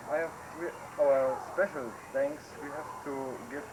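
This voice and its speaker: The fairly slow speech has fairly even intonation and noticeable background noise. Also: man. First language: German. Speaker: visiting relative from abroad. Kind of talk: farewell speech. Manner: halting.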